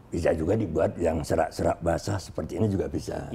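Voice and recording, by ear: In a put-on character voice, a man talks at a fairly quick pace, very deep and low in pitch, hoarse and husky, over clear background noise.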